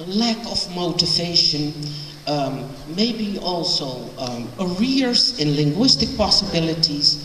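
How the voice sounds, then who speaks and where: Over light background noise and audible room echo, a woman with a fairly low pitch speaks at a very slow pace. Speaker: lecturer, professor. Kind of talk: lecture. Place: hall. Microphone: handheld.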